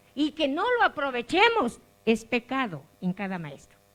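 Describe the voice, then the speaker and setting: A woman speaks at a very slow pace. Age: 60s. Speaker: rural preschool teacher. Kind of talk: audience comment. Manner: animated.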